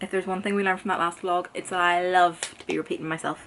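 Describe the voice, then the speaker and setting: A woman's voice over noticeable background noise. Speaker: book YouTuber. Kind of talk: casual vlog chat. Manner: animated.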